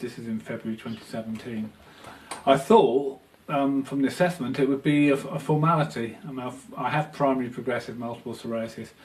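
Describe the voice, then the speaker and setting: The speech runs at a fairly quick pace with ordinary pitch variation. Background noise is noticeable throughout. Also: man. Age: 50s. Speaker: photographer with multiple sclerosis. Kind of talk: testimony. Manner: halting, many fillers.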